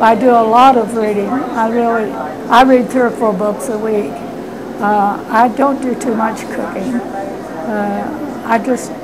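A woman with a Midwestern US accent speaks very slowly at a fairly high pitch, her intonation fairly even. Noticeable background noise is present. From Indiana. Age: 80s+. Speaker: retired nurse; interviewee. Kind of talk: interview. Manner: halting.

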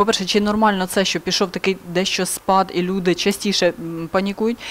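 A woman speaks in a plain, everyday voice at a medium pitch. She keeps a moderate pace. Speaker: TV presenter. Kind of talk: interview. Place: studio. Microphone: lapel.

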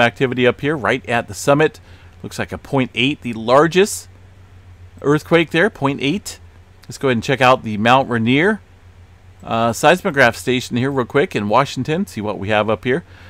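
Lively intonation and a moderate pace in a plain, everyday voice. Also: man. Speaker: earthquake and space weather YouTuber. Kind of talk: weather report. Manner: casual, relaxed, conversational; steady, matter-of-fact narration of map data, with frequent filler 'uh'.

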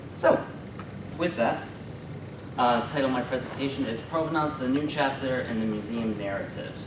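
A man speaks at a moderate pace with ordinary pitch variation and long, frequent pauses. Noticeable background noise is present. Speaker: graduate student presenter. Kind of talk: conference presentation. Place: classroom. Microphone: camera far.

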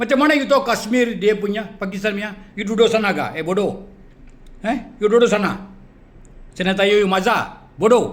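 A man speaks at a moderate pace with a high pitch. His tone is angry and animated. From Malaysia. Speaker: video blogger. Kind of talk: angry rant. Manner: angry, insulting, animated.

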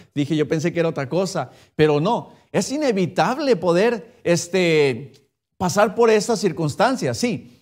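An animated man at a fairly slow pace against a quiet background. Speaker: preacher. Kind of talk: sermon in a Spanish-language Baptist church. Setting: church. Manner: animated, direct, addresses the congregation as usted with rhetorical questions; conversational, switches between Spanish and English. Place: church. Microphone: podium.

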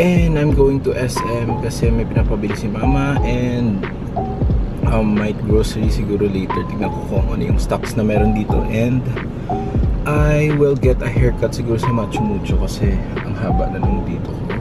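Loud background noise runs under the voice. The speech moves at a moderate pace. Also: man. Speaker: lifestyle vlogger. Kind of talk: casual vlog chat. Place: car. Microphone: camera far.

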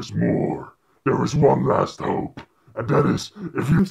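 A man growls in a put-on character voice. He keeps a fairly slow pace. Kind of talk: epic movie voice-over. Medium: short film. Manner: solemn, commanding. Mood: ominous.

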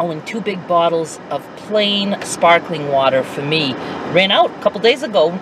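Amid noticeable background noise, a woman with a fairly low pitch talks at a moderate pace in a dry sound with no echo. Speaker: vlogger. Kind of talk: casual vlog chat. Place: car. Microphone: phone near.

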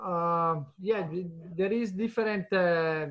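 With an Italian accent, a man speaks at a high pitch with ordinary pitch variation. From northern Italy, Lombardy. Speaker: cheese producer. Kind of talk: interview. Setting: video call. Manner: halting. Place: office. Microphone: video call.

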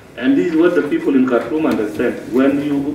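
The voice moves at a fairly quick pace with ordinary pitch variation. Room echo is audible, and there is noticeable background noise. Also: man. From Southern Sudan, Warrap state. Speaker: Southern Sudanese official. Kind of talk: informal address to delegation. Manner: animated.

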